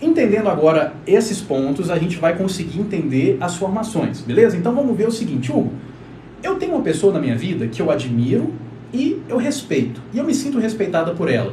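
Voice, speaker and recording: A man talks at a fairly quick pace and a high pitch, with very wide pitch swings. Noticeable background noise and audible room echo fill the recording. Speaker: relationship therapist. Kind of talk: live stream talk. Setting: live stream. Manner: fast.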